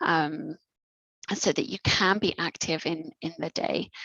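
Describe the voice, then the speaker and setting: Recorded dry and close with no echo, a woman with a plain, everyday voice speaks at a fairly low pitch with lively intonation. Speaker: neuro physiotherapist. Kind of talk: educational workshop presentation.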